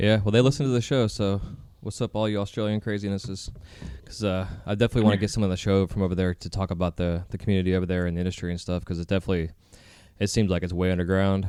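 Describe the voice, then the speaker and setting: A man's dark, mellow voice, fairly low in pitch, at a very fast pace with a slight Southern accent. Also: fairly even intonation. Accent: slight southern twang. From Florida. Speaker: podcast host. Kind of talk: casual interview chat.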